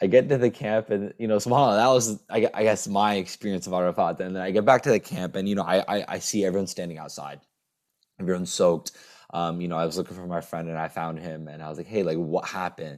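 Very fast speech with ordinary pitch variation and big swings in loudness, on a very clean recording with a silent background. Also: man, very deep, low pitch for a man. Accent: American. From US. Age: 20s. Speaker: data engineer, pilgrim. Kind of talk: interview storytelling.

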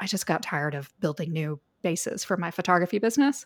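Here a woman has a normal speaking voice, at a moderate pace with ordinary pitch variation. The recording is very clean, with a silent background. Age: 40s. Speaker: copywriter and editor. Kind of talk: interview.

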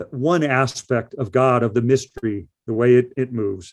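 Here a man speaks with an American accent. His pitch is medium and his intonation fairly even. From US Midwest, Elkhart, Indiana. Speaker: poet. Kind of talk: interview. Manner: halting, frequent repetitions.

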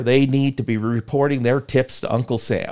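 With an American accent, a man speaks in an ordinary speaking voice, medium in pitch, at a moderate pace with fairly even intonation, on a very clean recording with a silent background. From rural Iowa, US Midwest. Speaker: former state senator. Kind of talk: interview. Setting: live show.

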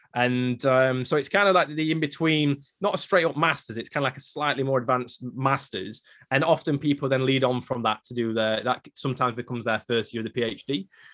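A man speaks with an English accent at medium pitch. His pitch varies in an ordinary way, and his pace is fairly quick. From England. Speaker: paleontologist. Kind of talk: interview.

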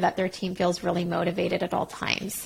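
A woman with a Canadian accent speaks in a somewhat breathy voice. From Quebec, Montreal. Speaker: career coach. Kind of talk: casual interview. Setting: remote call.

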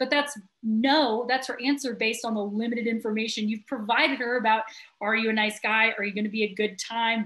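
A woman speaks at a fairly quick pace in a fairly high pitch, with an unremarkable speaking voice. The background is quiet. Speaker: sales trainer. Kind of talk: interview about roofing sales with role-play.

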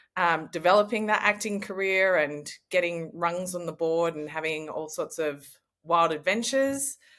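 In a very clean recording with a silent background, a woman speaks with an Australian accent. Her voice is fairly low in pitch, with lively intonation. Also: moderate pace. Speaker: actor and artist. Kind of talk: interview conversation.

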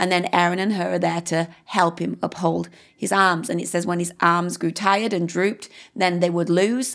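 A woman's fairly low voice in a British accent, with vocal fry, fairly even intonation and a moderate pace, on a very clean recording with a silent background. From UK. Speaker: pastor. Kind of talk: interview.

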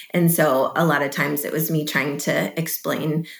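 A woman speaks with an American accent. Vocal fry runs through her voice. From Chicago area, US Midwest. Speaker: missionary. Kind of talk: interview.

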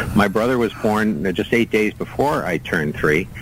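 Speaking at a fairly low pitch, a man is heard against noticeable background noise. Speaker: radio guest and sports fan. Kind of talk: casual chat. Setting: video call.

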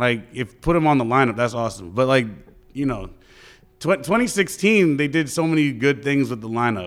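A man talks fairly quickly at a medium pitch with a New York accent. His intonation is lively. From New York, the Bronx. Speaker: DJ and radio host. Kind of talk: casual interview.

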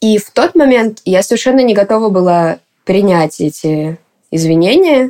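With ordinary pitch variation, a woman's voice carries a dark, mellow tone. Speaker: poet and activist. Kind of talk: interview testimony.

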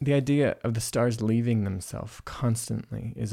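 The man's voice has a warm tone that is also dark and mellow. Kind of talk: reflective conversation. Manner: warm, laughs often.

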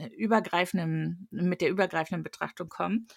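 Recorded very cleanly against a silent background, a woman talks at a moderate pace in a medium pitch with ordinary pitch variation. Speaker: podcast co-host. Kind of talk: casual chat.

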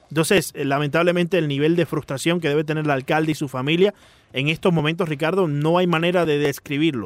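With ordinary pitch variation, a man talks in a plain, everyday voice. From Miami. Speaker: sports radio host. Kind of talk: casual chat. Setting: studio.

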